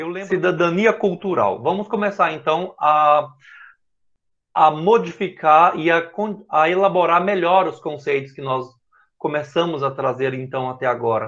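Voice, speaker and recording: A man's high voice moves fairly slowly, its pitch varying in an ordinary way. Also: quiet background. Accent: slight Minas Gerais. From Brazil, Minas Gerais. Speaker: professor. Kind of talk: lecture. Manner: halting.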